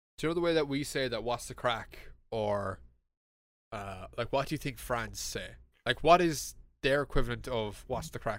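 A man with an Irish accent uses lively intonation at a fairly high pitch, with vocal fry, in a very clean recording with a silent background. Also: moderate pace. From Ireland. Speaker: podcast host. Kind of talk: casual chat.

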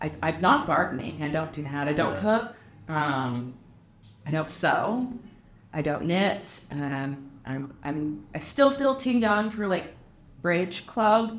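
In a room with audible echo, a woman talks at a very slow pace. Her very deep, low voice moves through very wide pitch swings. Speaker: property manager and anti-trafficking advocate. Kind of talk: casual chat. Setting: hotel cigar lounge.

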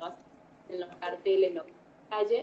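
A woman speaks with a plain, everyday voice at medium pitch. Her intonation is lively. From Argentina. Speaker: educator and emigrant mother. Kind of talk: interview. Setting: video call. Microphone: poor connection, low volume.

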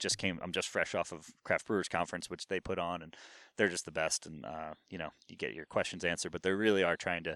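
With an American accent, a man with a very deep, low voice and a bright, sharp tone talks in fairly even intonation, the sound dry and close with no echo over a quiet background. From New Jersey, US East Coast. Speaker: brewery co-founder. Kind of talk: casual interview chat.

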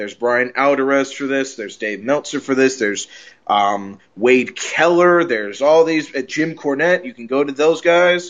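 In an ordinary speaking voice, a man talks at a moderate pace with a fairly high pitch, ordinary pitch variation and big swings in loudness. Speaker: wrestling podcast host. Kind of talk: casual chat.

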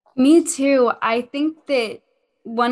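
A woman talks with ordinary pitch variation as music plays in the background. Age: young. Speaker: pageant title holder and podcast host, musical theater student. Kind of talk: casual podcast chat.

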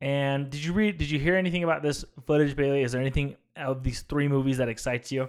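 Very fast delivery with hardly any pauses and fairly even intonation. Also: man, fairly high pitch for a man. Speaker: podcast host, film discussion. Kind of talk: casual chat.

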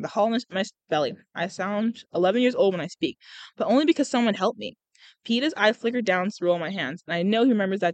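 An unforced voice reads with ordinary pitch variation. Nothing much sounds in the background.

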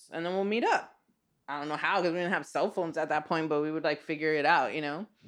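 The background is quiet as a woman talks in a plain, everyday voice. Her pitch is fairly low, with ordinary variation. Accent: American. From Los Angeles, Echo Park. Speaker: artist and teacher. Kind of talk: casual interview. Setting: in host's home.

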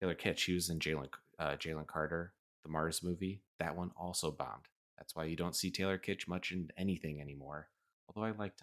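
In a very clean recording with a silent background, a man with an American accent talks very fast at a very deep, low pitch. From Chicago. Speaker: podcast host. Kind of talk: casual chat. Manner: animated, jokey.

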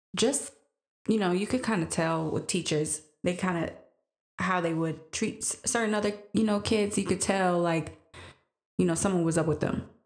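A woman with an American accent speaks at a moderate pace in a medium pitch, with ordinary pitch variation and long, frequent pauses. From Green Bay, Wisconsin, US Midwest. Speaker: podcast guest, mother. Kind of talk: casual interview.

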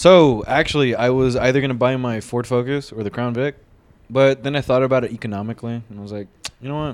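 Loudness swings widely as a man talks at a very fast pace, at a medium pitch with ordinary pitch variation. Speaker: podcast host. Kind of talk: casual chat.

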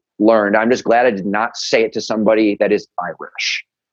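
The sound is dry and close with no echo as a man with a medium pitch speaks in an American accent. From Chicago, US Midwest. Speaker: rock band frontman. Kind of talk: casual chat.

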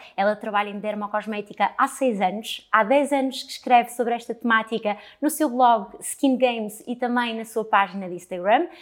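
Spoken at a moderate pace with hardly any pauses and ordinary pitch variation, this is an ordinary speaking voice. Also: woman, fairly high pitch for a woman. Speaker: podcast host, cosmetics trainer. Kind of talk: interview.

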